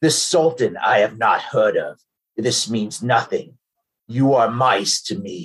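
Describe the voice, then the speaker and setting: A man puts on a booming, menacing character voice at medium pitch. He delivers it at a fairly slow pace. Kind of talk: tabletop game master character voice. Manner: menacing, contemptuous.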